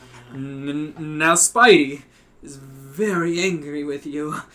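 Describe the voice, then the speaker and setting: A growling, put-on character voice from a man, fairly high in pitch and at a very slow pace. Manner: growling, angry.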